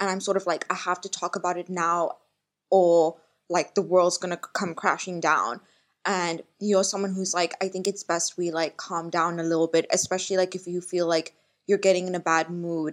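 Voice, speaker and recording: Against a quiet background, the speaker goes at a moderate pace with monotone, flat intonation. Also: woman, fairly low pitch for a woman. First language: Malayalam. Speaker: podcast host. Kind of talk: casual chat.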